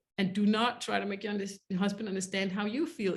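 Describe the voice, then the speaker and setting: A woman speaks with a somewhat breathy voice. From grew up in a war zone. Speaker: relationship coach. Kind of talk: webinar masterclass. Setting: live online webinar. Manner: fast.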